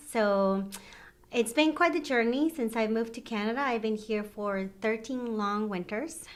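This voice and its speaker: With a Mexican accent, a woman talks at a moderate pace in a fairly high pitch, her pitch varying in an ordinary way. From Mexico. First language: Spanish. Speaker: retirement home manager. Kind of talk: interview.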